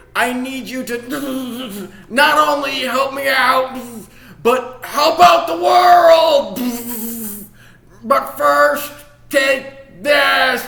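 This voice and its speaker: A man's very slow, extremely high-pitched put-on character voice with audible echo. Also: lively intonation. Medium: read story.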